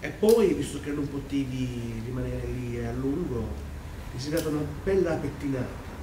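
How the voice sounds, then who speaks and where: Noticeable background noise sits behind a man speaking at a moderate pace. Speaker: stage actor. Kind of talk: theatrical dialogue. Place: stage. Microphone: camera far.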